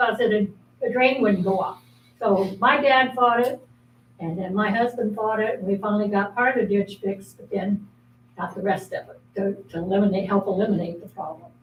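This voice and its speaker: With an American accent, a woman talks at a moderate pace in a medium pitch, her voice somewhat breathy and her pitch varying in an ordinary way. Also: big swings in loudness. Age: 80s+. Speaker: resident speaking at public meeting. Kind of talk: public comment. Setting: city meeting.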